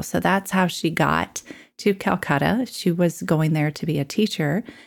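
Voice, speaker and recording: With vocal fry, this woman talks at a fairly low pitch. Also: very clean recording, silent background. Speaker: podcast co-host. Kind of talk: casual chat.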